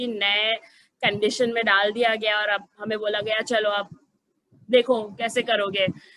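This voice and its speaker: A woman speaks with a fairly high pitch and a bright, sharp tone. Her intonation is monotone and flat. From Gujarat, India. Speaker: program head in education. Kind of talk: information webinar presentation. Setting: online webinar. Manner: hesitant with many fillers.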